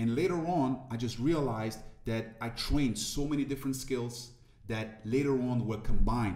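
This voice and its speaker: In a room with audible echo, a man talks with a French accent. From Ivory Coast. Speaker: motivational speaker. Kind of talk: interview conversation.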